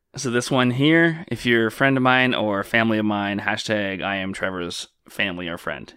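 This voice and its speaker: An unremarkable speaking voice from a man, fairly low in pitch, with lively intonation, a moderate pace and hardly any pauses. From Canada. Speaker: podcast host. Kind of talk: casual comedic chat. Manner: joking, sarcastic.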